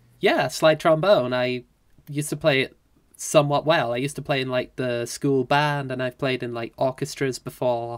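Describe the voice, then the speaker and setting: The speaker has a British accent and a moderate pace. The recording is very clean, with a silent background. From UK. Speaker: musician, podcast guest. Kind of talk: casual chat.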